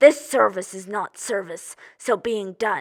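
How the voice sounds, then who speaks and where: A female-sounding voice speaks at a moderate pace in a put-on character voice. The recording is very clean, with a silent background. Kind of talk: theatrical monologue, audition style.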